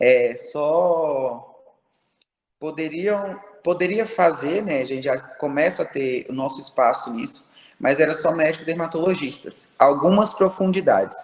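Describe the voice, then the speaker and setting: The pace is fairly slow as a man speaks in a high voice. His intonation is lively. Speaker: aesthetic pharmacist. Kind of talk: online talk to students. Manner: animated.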